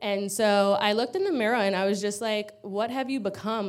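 With a New York accent, a woman speaks at a moderate pace with ordinary pitch variation. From Long Island, New York. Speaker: recovery program resident. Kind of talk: testimony. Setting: church with congregation.

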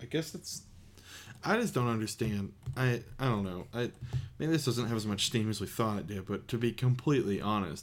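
Featuring an ordinary speaking voice, a man talks at a fairly low pitch and a moderate pace with ordinary pitch variation. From United States. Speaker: podcast co-host. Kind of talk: casual chat.

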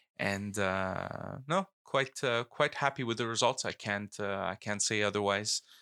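With a bright, sharp tone and fairly low pitch, a man talks at a fairly slow pace with hardly any pauses and ordinary pitch variation, the sound dry and close with no echo. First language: not English (English is third language; French schooling). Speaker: politician. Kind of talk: casual chat.

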